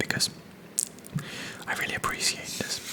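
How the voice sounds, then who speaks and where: Someone whispers over noticeable background noise. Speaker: ASMR content creator, channel host. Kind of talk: casual talk to camera, channel chat about the book. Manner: soft-spoken, whispered, relaxing.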